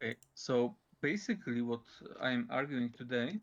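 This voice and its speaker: A voice with a Polish accent is heard against a quiet background. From Poland. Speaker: debater. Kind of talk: formal debate. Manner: halting, many fillers.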